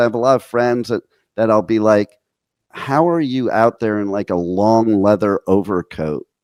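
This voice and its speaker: In an American accent, a man with a plain, everyday voice speaks at a moderate pace with ordinary pitch variation, the sound dry and close with no echo. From New Jersey. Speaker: internet radio host. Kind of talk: casual radio interview.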